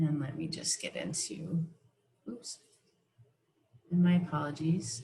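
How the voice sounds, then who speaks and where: A woman with a very deep, low pitch and a dark, mellow tone sounds somewhat breathy, using ordinary pitch variation, big swings in loudness and long, frequent pauses. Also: fairly slow pace. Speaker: professional development presenter. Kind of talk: online teacher workshop presentation.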